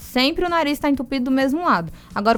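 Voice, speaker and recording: A woman speaks at a high pitch. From Brazil, moved around as military child. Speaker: ear, nose and throat doctor. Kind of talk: radio interview. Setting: radio studio. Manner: explanatory, calm.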